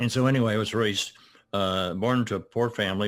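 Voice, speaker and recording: This man has a Southern US accent and speaks at a moderate pace. His intonation stays fairly even. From US South, Arkansas. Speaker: retired art professor and children's author. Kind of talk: interview. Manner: halting.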